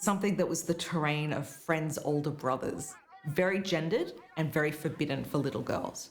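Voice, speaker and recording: With music in the background and audible room echo, the speaker talks in an Australian accent. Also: woman. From Australia, outer suburbs of Melbourne. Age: 50s. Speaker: film critic. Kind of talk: documentary interview.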